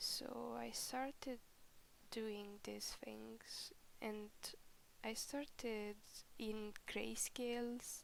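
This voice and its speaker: A woman is speaking. Her voice is quiet. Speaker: digital artist. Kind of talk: casual voiceover commentary. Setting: home recording, background noise. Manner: unscripted, rambling.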